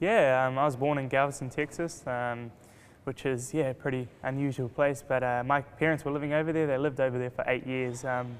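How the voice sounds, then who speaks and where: With a New Zealand accent, a man talks at a fairly quick pace and medium pitch, keeping his intonation fairly even. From New Zealand, Rotorua. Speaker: race car driver. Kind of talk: interview. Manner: hesitant, many fillers.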